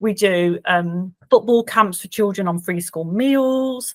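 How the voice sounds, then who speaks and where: A woman speaks with a Birmingham accent and ordinary pitch variation. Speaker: charity worker. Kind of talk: client testimonial interview. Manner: hesitant, many fillers.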